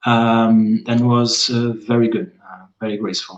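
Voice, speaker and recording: Speaking fairly slowly, the man has a Portuguese accent. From northern Portugal. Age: 30s. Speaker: environmental engineer. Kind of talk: casual chat. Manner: halting.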